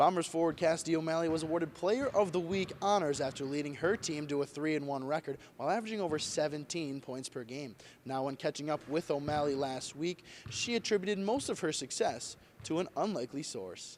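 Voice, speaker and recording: At a fairly quick pace, a man speaks in an unremarkable speaking voice, fairly high in pitch with ordinary pitch variation. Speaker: sports reporter. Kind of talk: sports news report.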